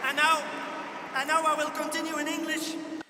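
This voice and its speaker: A man speaks at a moderate pace in an extremely high, raised and projected voice with flat, monotone intonation. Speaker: trade union leader. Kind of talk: rally speech. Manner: rousing.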